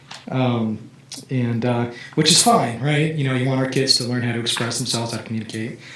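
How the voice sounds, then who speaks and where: With audible room echo and noticeable background noise, a man talks at a fairly quick pace and a medium pitch. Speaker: parent speaking at public comment. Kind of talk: public comment at school board meeting. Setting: school board meeting. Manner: halting, many fillers.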